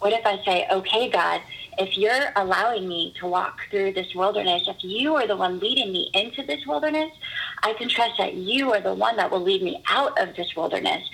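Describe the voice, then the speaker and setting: This woman's voice sits at a medium pitch and has lively intonation. Noticeable background noise runs behind her. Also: moderate pace. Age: 30s. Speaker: hair and makeup artist and faith coach. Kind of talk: casual chat. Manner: animated.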